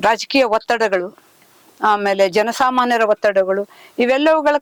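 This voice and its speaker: The recording sounds dry and close, with no echo. A woman talks in a high voice with ordinary pitch variation. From northern Karnataka (Kalyana-Karnataka region). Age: 60s. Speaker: epigraphist and writer, retired official. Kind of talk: interview.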